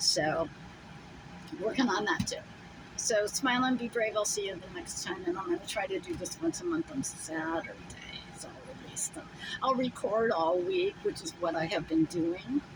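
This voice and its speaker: A woman's speech shows very wide pitch swings and long, frequent pauses, with noticeable background noise. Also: medium pitch for a woman, moderate pace. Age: 70s. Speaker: solo vlogger, RV traveller. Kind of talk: casual vlog monologue. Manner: rambling, hesitant with fillers.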